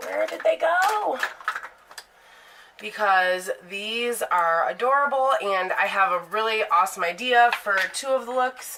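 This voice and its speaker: A woman's fairly high, bright, sharp voice with very wide pitch swings. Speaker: beauty vlogger. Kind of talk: product review. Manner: casual, rambling self-corrections.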